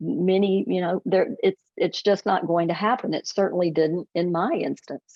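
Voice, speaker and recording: A woman with a normal speaking voice talks at a medium pitch and a moderate pace, with ordinary pitch variation and hardly any pauses. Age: 60s. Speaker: author. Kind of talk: interview.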